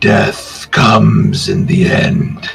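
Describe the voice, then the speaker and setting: A man puts on a character voice that is hoarse and raspy. Faint music plays in the background. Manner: eerie, menacing.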